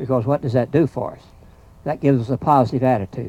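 A man at a very fast pace over light background noise. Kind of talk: informal talk to audience. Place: open country.

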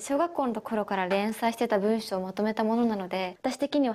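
Speaking at a fairly quick pace, a woman has a fairly high pitch and ordinary pitch variation. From Ishikawa, Japan. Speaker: actress. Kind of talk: TV interview answer. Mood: shy, cheerful, often laughing. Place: empty room. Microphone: handheld.

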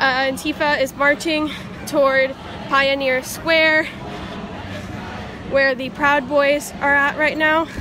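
Raising and projecting her voice, a woman speaks monotone and flat at a fairly slow pace with long, frequent pauses, in a dry sound with no echo over noticeable background noise. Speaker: newspaper reporter. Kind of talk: live field report. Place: street. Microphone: phone near.

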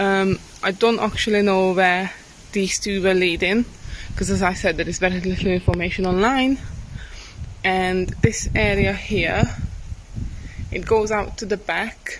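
A woman speaks at a fairly slow pace with long, frequent pauses. Noticeable background noise sits behind her. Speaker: travel vlogger. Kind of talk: casual vlog chat. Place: open country. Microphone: phone near.

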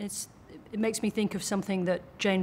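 A woman speaks with an Australian accent. There is light background noise. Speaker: TV journalist. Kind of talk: interview.

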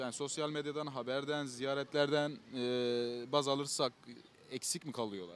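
A fairly high-pitched man at a fairly quick pace, dry sound with no echo, light background noise. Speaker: street interviewer. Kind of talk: street vox pop interviews. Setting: outdoors on the street. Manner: friendly, laughs often. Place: garden. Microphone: handheld.

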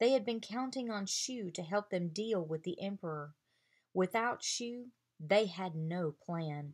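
This is an unforced reading voice. The background is quiet.

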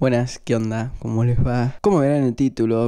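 A man speaks in a dark, mellow tone at a moderate pace. The background is quiet. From Argentina. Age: 20s. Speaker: film and series youtuber; series youtuber. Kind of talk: casual review vlog. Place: home room. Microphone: handheld.

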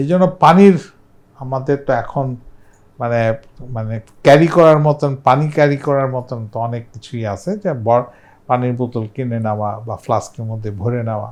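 The man has a plain, everyday voice at a medium pitch with ordinary pitch variation, heard against a quiet background. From Bangladesh, Dhaka. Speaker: public health expert. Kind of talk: casual chat.

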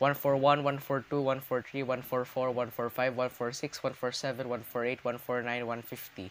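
Over light background noise, a man speaks in a monotone, flat intonation. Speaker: youtuber. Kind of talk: counting aloud, casual vlog. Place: home room. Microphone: webcam.

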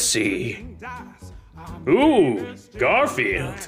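A man performs in a put-on character voice. Music plays clearly in the background. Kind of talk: comic parody dub. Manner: smug, casual, self-satisfied.

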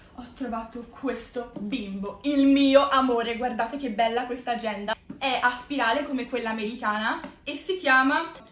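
A woman's high voice at a moderate pace, with ordinary pitch variation and audible room echo. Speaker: video creator. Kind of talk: casual vlog chat. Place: home room. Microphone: camera far.

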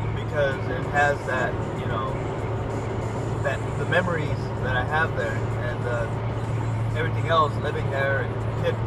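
Music plays in the background as a man speaks at a fairly slow pace. The sound is dry with no echo. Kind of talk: casual vlog chat. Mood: nostalgic, relaxed. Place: car. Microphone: phone near.

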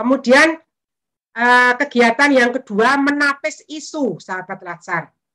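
Very slowly, a woman speaks with lively intonation at a fairly high pitch. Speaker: trainer. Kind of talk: lecture. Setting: video call.

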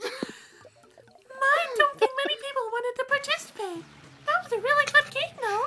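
A man speaks in a put-on character voice at an extremely high pitch, keeping a moderate pace. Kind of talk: comic overacting impression. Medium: game stream. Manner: shrill, exaggerated.

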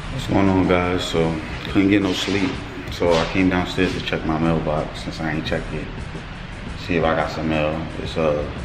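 Long, frequent pauses break up a man's moderate-paced speech while music plays behind. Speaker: father vlogger. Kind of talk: casual vlog chat.

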